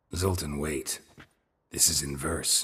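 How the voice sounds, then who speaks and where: A man does a put-on character voice, raspy and very deep in pitch. His low tone rumbles through the act. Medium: video game. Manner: terse, dry, low-key.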